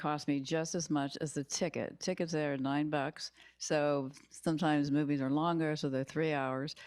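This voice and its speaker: Speaking with an American accent at a moderate pace, a woman with a very deep, low voice keeps very even loudness and fairly even intonation. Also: very clean recording, silent background. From Southern California. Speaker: public commenter. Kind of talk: public comment at council meeting. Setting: council chamber microphone.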